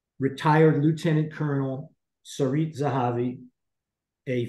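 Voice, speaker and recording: Audible room echo surrounds a dark, mellow tone. The pace is moderate and the intonation fairly even. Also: man. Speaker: program host. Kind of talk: introducing guest speakers. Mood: serious, earnest. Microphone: video call.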